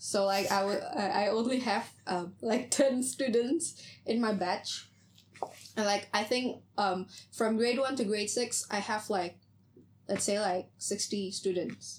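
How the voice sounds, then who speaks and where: The woman speaks at a very slow pace with a fairly high pitch. Her pitch variation is ordinary and her loudness very even. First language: Indonesian. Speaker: podcast host, university student. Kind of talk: casual chat.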